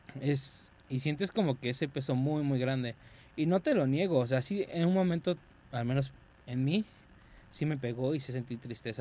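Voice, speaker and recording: A man's dark, mellow voice at a medium pitch, with a Mexican accent. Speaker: podcast co-host. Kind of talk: casual chat.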